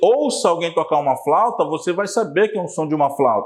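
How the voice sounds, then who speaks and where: The man's intonation is lively. His voice carries audible room echo. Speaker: teacher. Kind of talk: lecture.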